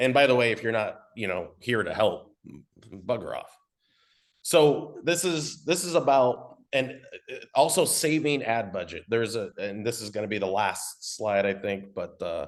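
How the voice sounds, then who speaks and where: A man at a medium pitch with lively intonation, speaking at a fairly slow pace. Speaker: marketing consultant. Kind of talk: webinar presentation. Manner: loud; casual, off-the-cuff.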